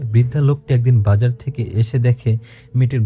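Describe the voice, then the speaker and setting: Music plays in the background as a man speaks at a medium pitch in a monotone, flat way. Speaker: radio host reading a listener's letter. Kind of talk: horror story narration.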